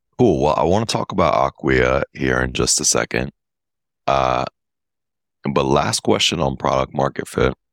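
With long, frequent pauses and vocal fry, a man talks at a moderate pace in a very deep, low voice, keeping his loudness very even and his pitch variation ordinary. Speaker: podcast host. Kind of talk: interview, casual chat. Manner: upbeat, enthusiastic.

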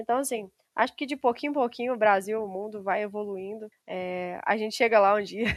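At a fairly quick pace, a woman talks with a fairly high pitch and ordinary pitch variation. The background is quiet. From Brazil, Minas Gerais countryside. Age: 20s. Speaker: civil engineer. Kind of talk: interview.

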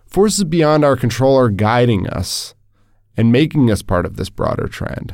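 A man talks with lively intonation. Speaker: podcast co-host. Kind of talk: casual chat.

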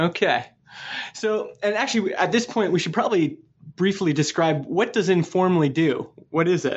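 Very even loudness and ordinary pitch variation. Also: man, high pitch for a man, moderate pace. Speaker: podcast host. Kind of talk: interview. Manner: polished presenter.

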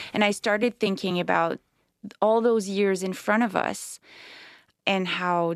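With a Quebec accent, a woman speaks at a moderate pace with fairly even intonation over a quiet background. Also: dry, close sound with no echo. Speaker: novelist. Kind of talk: interview. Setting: studio.

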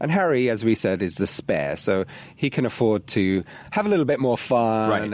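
The speaker has an English accent and a moderate pace, with very wide pitch swings. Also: man. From England, working-class area. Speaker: podcast co-host. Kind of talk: casual chat.

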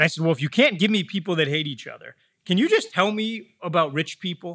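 A man with a Michigan accent talks very fast in a bright, sharp tone with lively intonation, and the very clean recording sounds dry and close, with no echo and a silent background. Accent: General American, Michigan. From US Midwest, Metro Detroit. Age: 40s. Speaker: real estate company learning executive. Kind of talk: interview.

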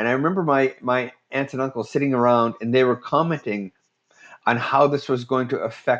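A man with a Canadian accent and a plain, everyday voice at medium pitch, with ordinary pitch variation and a moderate pace. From Ontario, Curve Lake First Nation. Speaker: playwright and humorist. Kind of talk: interview.

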